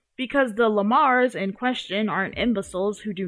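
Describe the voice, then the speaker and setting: This woman has a medium pitch and lively intonation. She talks at a moderate pace. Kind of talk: video essay narration. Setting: gaming headset mic. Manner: casual.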